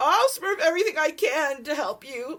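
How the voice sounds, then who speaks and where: In a squeaky put-on character voice, a woman speaks at an extremely high pitch and a moderate pace, with very wide pitch swings. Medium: read story.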